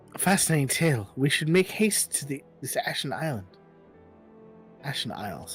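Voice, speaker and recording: A man puts on a breathy character voice, fairly high in pitch, with very wide pitch swings at a moderate pace. Long, frequent pauses break it up while faint music plays in the background. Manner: grand, dramatic.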